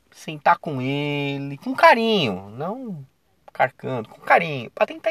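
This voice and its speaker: This man's voice is recorded with a dry, close sound and no echo. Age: 40s. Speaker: football commentator podcaster. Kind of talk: casual solo commentary. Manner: animated, conversational.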